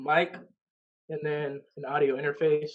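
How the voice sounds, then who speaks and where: A somewhat breathy male voice at a fairly high pitch, with monotone, flat intonation. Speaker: rapper. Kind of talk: casual chat. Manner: halting.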